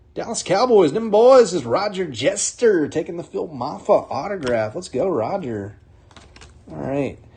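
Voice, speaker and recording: With an American accent, the speaker goes at a fairly slow pace with very wide pitch swings as music plays in the background. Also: man. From North Carolina. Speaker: card break host. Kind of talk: live card break commentary. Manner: whispering.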